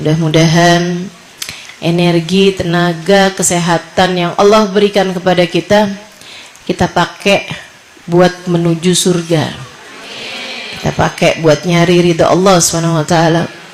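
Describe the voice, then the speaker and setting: Slow-ish, fairly low-pitched woman in a monotone, flat intonation with very even loudness, long, frequent pauses and noticeable background noise. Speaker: female Islamic preacher. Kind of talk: sermon to women's study group.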